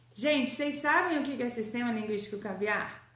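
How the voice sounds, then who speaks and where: The speech has lively intonation and a moderate pace, with audible room echo in the space. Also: woman. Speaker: grammar teacher. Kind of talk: online lecture.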